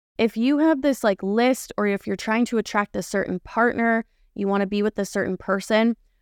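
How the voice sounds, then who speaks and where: The sound is dry and close with no echo, on a very clean recording with a silent background. The tone is animated, with ordinary pitch variation. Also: woman. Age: 20s. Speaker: online health and fitness coach, podcast host. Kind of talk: casual solo monologue. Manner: animated, laughs often.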